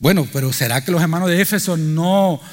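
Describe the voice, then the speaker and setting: A high-pitched man talks fairly slowly. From Cuba. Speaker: pastor. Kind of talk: sermon. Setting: church.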